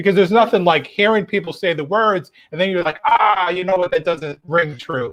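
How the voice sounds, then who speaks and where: Speaking with an American accent, a man talks at a fairly quick pace with hardly any pauses, using a high pitch and ordinary pitch variation. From upstate New York. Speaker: playwright. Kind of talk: interview. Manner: loud when excited.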